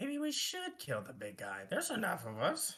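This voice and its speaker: This is a female-sounding voice doing a put-on character voice. The pace is moderate. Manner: scheming.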